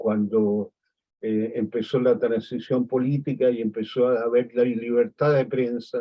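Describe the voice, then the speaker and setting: A man's medium-pitched, flat, monotone voice at a fairly slow pace. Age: 80s+. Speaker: photographer. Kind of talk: interview conversation.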